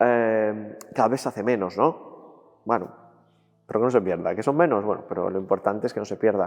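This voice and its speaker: This man has a rather low voice, keeps to a medium speed, and shows typical pitch movement. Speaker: brotherhood member. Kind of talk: documentary interview. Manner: halting.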